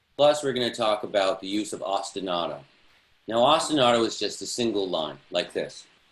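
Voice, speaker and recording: With an American accent, a man talks fairly quickly at a medium pitch, his intonation lively. Room echo is audible. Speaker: music theory teacher. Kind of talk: online class lecture. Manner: talks fast when excited.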